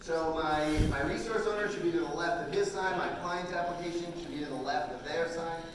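A man talks at a fairly quick pace. Strong room echo and noticeable background noise fill the recording. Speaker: conference presenter. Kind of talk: live presentation, directing volunteers. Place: hall.

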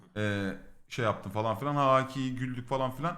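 A man's bright, sharp tone with lively intonation at a moderate pace. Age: 30s. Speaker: streamer. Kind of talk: casual storytelling. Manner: animated, laughing.

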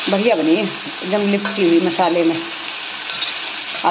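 A woman is speaking. Loud background noise fills the clip. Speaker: homemaker vlogger. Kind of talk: casual vlog chat. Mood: relaxed, chatty.

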